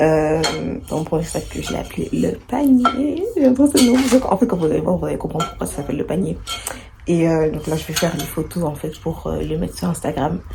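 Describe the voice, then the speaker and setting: Background noise is noticeable here. A woman talks fairly quickly over it. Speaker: vlogger and bag maker. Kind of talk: casual vlog. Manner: hesitant, many fillers.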